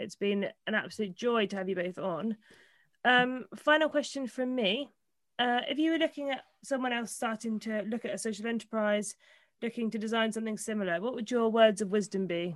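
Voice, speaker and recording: A woman with a plain, everyday voice talks at a fairly quick pace, her fairly high pitch showing ordinary pitch variation. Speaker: podcast co-host. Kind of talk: casual interview chat. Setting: video call.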